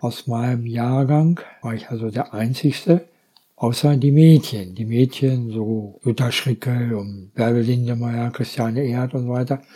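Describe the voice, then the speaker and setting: At a fairly slow pace, a man talks at a medium pitch in a dark, mellow tone. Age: 70s. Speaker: local politician. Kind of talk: casual chat.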